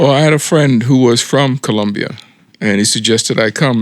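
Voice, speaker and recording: A man is speaking. He talks with a Philadelphia accent. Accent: Philadelphia-area American. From US, South Jersey. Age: 60s. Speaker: expat, retired chef. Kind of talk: interview.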